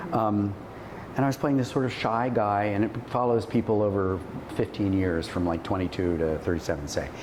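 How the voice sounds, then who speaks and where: Fairly quick speech with ordinary pitch variation, audible room echo and noticeable background noise. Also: man. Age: 70s. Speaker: actor and acting teacher. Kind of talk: casual chat.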